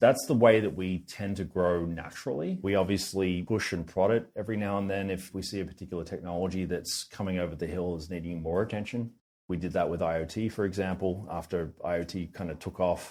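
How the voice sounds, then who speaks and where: Speaking with an Australian accent, a man talks at a fairly quick pace with hardly any pauses, a very deep, low pitch and fairly even intonation. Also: very clean recording, silent background. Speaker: tech company founder. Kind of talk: podcast interview.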